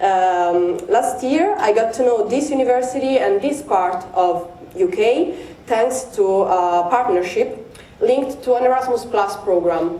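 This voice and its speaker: A woman at high pitch with very wide pitch swings, very even loudness and a fairly slow pace, amid noticeable background noise and audible room echo. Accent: Italian. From Italy. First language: Italian. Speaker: PhD researcher. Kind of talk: conference presentation. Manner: halting, many fillers.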